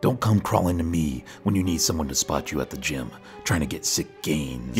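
Over clear background music, a man performs a cartoonish character voice at a moderate pace. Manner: indignant, whiny rant.

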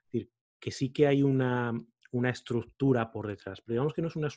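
Over a quiet background, a man delivers his words very fast with fairly even intonation. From Spain, Salamanca. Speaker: podcaster and coach. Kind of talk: interview conversation. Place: home room. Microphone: studio mic.

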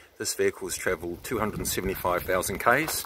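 A man's voice in a dry sound with no echo, set against loud background noise. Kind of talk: sales walkaround commentary. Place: street. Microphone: phone near.

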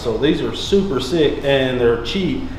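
A man talks at a fairly quick pace. Audible room echo and light background noise are present. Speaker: garage build show host. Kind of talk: tutorial presentation to camera. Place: garage.

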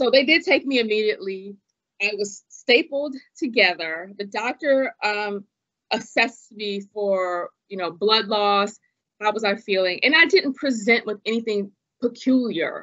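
An ordinary speaking voice from a woman, fairly high in pitch, with lively intonation at a fairly slow pace against a quiet background. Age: 40s. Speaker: former attorney and patient advocate; podcast guest. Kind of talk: interview about illness experience. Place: home room. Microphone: video call.

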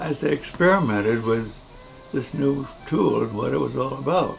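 Over clearly audible background music, a man speaks at an unhurried, middling speed. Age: 80s+. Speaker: war veteran. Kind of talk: interview answer. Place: home room.

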